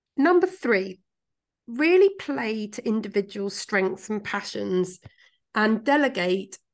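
In a British accent, a woman at medium pitch speaks at a fairly slow pace against a quiet background. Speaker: podcast co-host and coach. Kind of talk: casual chat podcast discussion. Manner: light-hearted, laughs often.

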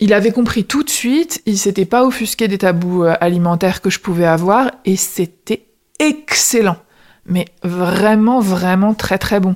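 A woman's plain, everyday voice at a medium pitch, with ordinary pitch variation, a fairly slow pace, very even loudness and a dry, close sound with no echo. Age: 30s. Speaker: lawyer retraining in HR. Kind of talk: casual interview conversation.

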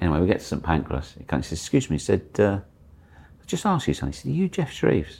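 Racing at a very fast pace, a man with a very deep, low voice and vocal fry speaks with lively intonation and big swings in loudness. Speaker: TV reporter. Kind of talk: casual interview chat.

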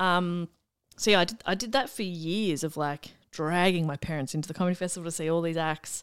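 With an Australian accent, this woman talks. She keeps a fairly quick pace. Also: fairly low pitch for a woman, ordinary pitch variation, very clean recording, silent background. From Melbourne, Australia. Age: 30s. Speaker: comedian and radio broadcaster. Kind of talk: casual interview chat.

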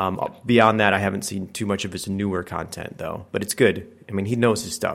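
Speaking with a fairly low pitch and monotone, flat intonation, a man keeps a moderate pace with hardly any pauses. The recording is very clean, with a silent background. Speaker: podcast co-host. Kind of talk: casual podcast chat.

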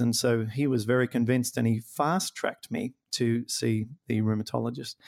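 A man with an Australian accent talks at medium pitch with fairly even intonation. The recording is very clean, with a silent background and a dry, close sound with no echo. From rural New South Wales, Australia. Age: 40s. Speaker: comedian and rheumatoid arthritis health coach. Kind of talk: interview.

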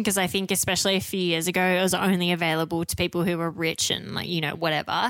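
Very fast speech from a woman with an Australian accent, fairly low in pitch, with fairly even intonation. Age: 30s. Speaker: podcast co-host. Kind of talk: casual chat.

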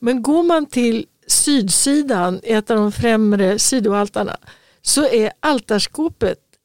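A woman's high-pitched voice with lively intonation at a fairly slow pace, dry and close with no echo. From Sweden. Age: 70s. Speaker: podcast co-host. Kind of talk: casual chat.

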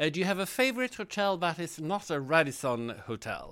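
In a Swedish accent, a man speaks with a fairly high pitch and a bright, sharp tone. His pitch swings very widely on a very clean recording with a silent background. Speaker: interviewer. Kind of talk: interview. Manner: halting, many fillers.

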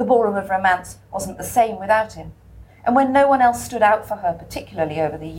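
Someone reads a text aloud. The delivery is plain.

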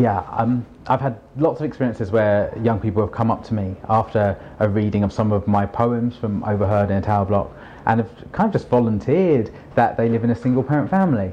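A man with a London accent talks at a fairly quick pace and a medium pitch. His loudness stays very even, with ordinary pitch variation. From London, England. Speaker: children's author and poet. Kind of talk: interview.

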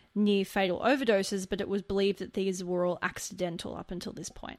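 A woman talks at a fairly quick pace with an Australian accent. The recording is very clean, with a silent background. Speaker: podcast co-host. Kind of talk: true crime storytelling.

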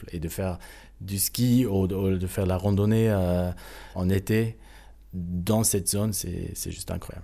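Speaking at a fairly slow pace with long, frequent pauses, the voice keeps a fairly even intonation and a dark, mellow tone. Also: man, very deep, low pitch for a man. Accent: German. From South Tyrol, Italy (Sterzing). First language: German (speaking French). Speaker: baroque violinist. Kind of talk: interview. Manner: halting, many hesitations.

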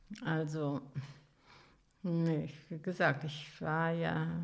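Vocal fry runs through a woman's very deep, low voice, broken by long, frequent pauses. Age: 80s+. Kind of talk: life story interview. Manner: halting.

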